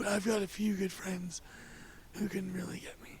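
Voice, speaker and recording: Against noticeable background noise, a man speaks at a high pitch in a monotone, flat intonation. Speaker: podcast guest sharing life story. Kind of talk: casual interview conversation. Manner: halting, with many fillers.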